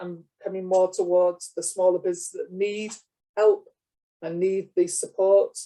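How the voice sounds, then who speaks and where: In a British accent, a man speaks at a high pitch and moderate pace, his dark, mellow tone held in a monotone, flat intonation. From UK. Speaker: lecturer. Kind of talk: lecture. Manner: hesitant, many fillers.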